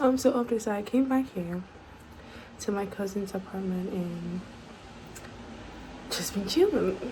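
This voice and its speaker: Amid noticeable background noise and audible room echo, a woman speaks at a fairly slow pace with medium pitch and ordinary pitch variation. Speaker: lifestyle vlogger. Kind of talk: vlog narration.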